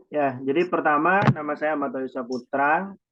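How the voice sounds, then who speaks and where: A man with an unremarkable speaking voice talks at a moderate pace with a fairly high pitch. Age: 20s. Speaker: youth organization chairman. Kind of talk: presentation in online meeting.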